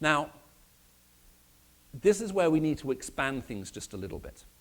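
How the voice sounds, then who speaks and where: The voice moves at a moderate pace with vocal fry and very wide pitch swings. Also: man. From Middle East. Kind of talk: sermon.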